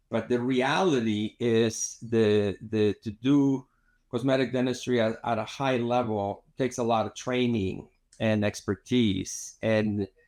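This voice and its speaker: A man with a Spanish accent talks at a fairly slow pace in a medium pitch, with a quiet background behind him. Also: fairly even intonation. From Mexico City, Mexico. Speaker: cosmetic dentist and filmmaker. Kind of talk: interview. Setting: studio. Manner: halting, many fillers and repetitions.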